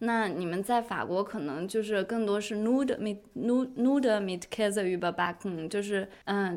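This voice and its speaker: In an ordinary speaking voice, a woman talks with ordinary pitch variation at a medium pitch. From Inner Mongolia, China. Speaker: podcast host. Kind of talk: casual chat.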